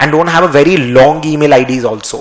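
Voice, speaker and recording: Someone with a Rajasthani accent talks at a fairly quick pace with ordinary pitch variation. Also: man. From India, West Bengal. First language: Marwari. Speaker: finance teacher. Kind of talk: lecture. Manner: halting. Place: studio. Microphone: podium.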